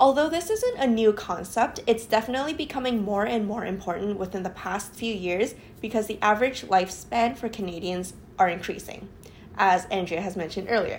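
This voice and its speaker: A somewhat breathy woman speaks at a fairly high pitch. She moves at a fairly quick pace with ordinary pitch variation. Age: 20s. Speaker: podcast co-host, planning student. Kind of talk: casual chat with read-out research.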